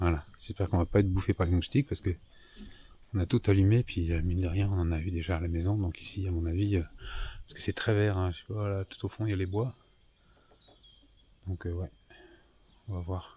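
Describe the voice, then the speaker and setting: A soft-spoken, somewhat breathy voice with a dark, mellow tone, a fairly quick pace, fairly even intonation and long, frequent pauses. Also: man, very deep, low pitch for a man. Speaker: sailing vlogger. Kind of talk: vlog narration. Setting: outdoors at night in a marina. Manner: casual, hesitant. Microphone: far from the mic.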